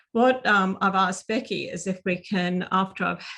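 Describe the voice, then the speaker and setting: A woman with an Australian accent speaks at a moderate pace and medium pitch. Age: 60s. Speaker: seminar speaker. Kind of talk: presentation. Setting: video call. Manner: halting, many fillers.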